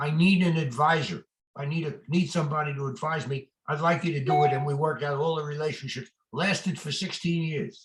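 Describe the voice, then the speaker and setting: Fairly high, somewhat breathy male voice with an American accent, fairly even intonation and a fairly quick pace. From New York. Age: 90s. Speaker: retired real estate lawyer and adviser. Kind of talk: interview. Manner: halting, repeats words.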